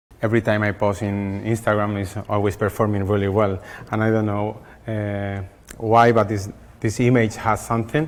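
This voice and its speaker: Intonation is held fairly level. The speed stays moderate. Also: man. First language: not English. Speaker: hair colourist educator. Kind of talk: masterclass demonstration.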